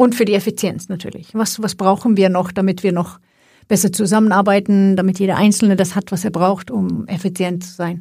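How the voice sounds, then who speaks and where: A somewhat breathy, dark, mellow voice with a Swedish accent, at a fairly quick pace and with fairly even intonation, on a very clean recording with a silent background. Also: woman, medium pitch for a woman. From Sweden. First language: Swedish (speaking German). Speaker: IT executive. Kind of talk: podcast interview.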